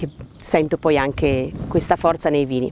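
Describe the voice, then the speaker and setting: A woman speaks with a very deep, low pitch. Light background noise is heard, and the sound is dry with no echo. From Piedmont, Italy. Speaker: winemaker. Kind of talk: interview monologue. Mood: warm, reflective. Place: garden. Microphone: lapel.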